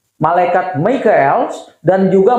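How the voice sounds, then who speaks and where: A man's high voice with lively intonation and audible room echo. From Indonesia, Bandung and Jakarta. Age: 60s. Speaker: pastor. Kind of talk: sermon. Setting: church. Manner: conversational, with fillers and self-corrections.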